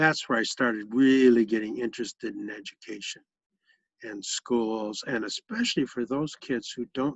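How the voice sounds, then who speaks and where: A normal speaking voice comes through with an American accent. Its pitch varies in an ordinary way. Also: man. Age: 60s. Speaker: retired education program director. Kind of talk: family interview.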